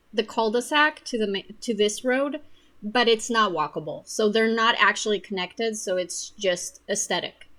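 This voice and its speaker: With a non-native accent, a woman speaks at a moderate pace in a bright, sharp tone, her pitch fairly high with ordinary variation. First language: not English. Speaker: gaming video creator. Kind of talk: gameplay commentary. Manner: casual with many fillers.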